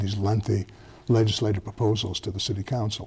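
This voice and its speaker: A man talking at a very fast pace, his dark, mellow tone somewhat breathy. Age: 70s. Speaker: retired federal prosecutor, former police oversight commissioner. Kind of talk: TV interview. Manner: halting, many false starts and fillers.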